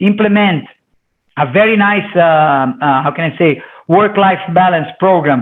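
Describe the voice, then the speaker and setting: A man with a Portuguese accent speaks with lively intonation. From Brazil. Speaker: company CEO. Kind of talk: interview. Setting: video call. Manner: loud.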